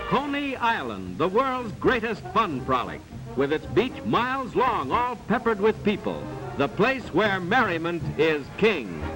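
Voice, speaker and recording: A man speaks with high pitch and very wide pitch swings at a fairly slow pace. His tone is enthusiastic, with music in the background. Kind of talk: upbeat documentary voiceover. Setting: vintage archival film soundtrack. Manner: brisk, enthusiastic, promotional.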